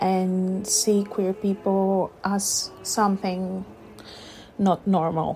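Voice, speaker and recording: At a very slow pace, a woman speaks at medium pitch. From Greece. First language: Greek. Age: 30s. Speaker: listener contributor. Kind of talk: personal testimony.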